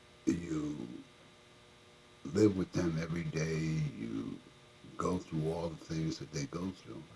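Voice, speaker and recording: Very deep and low in pitch, a man talks at a very slow pace in a somewhat breathy voice. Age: 60s. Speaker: motivational talk host. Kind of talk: motivational monologue.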